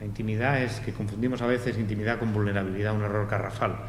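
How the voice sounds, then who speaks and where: The speech is very fast, with audible room echo. Noticeable background noise is present. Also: man. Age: 60s. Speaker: meditation teacher. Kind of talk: panel discussion. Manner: animated.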